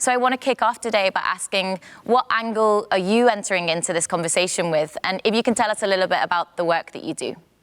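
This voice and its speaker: In a very clean recording with a silent background and a dry, close sound with no echo, a woman with a non-native accent talks at a very fast pace with hardly any pauses, keeping a medium pitch and ordinary pitch variation. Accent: non-Dutch English. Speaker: panel moderator. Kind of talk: panel discussion moderation.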